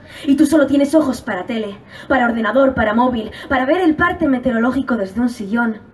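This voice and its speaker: A woman with a Spanish accent speaks very fast at a high pitch, using ordinary pitch variation. Her tone is animated and passionate, and noticeable background noise is present. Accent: Spanish from Spain. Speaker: slam poet competitor. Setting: stage with audience. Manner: animated, passionate, fast-paced, rhythmic delivery with urgent emphasis.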